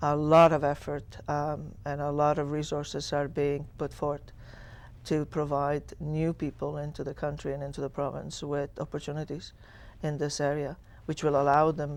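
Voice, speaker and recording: In an Italian accent, a woman with a very deep, low voice speaks in a flat monotone on a very clean recording with a silent background. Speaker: school superintendent. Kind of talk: interview.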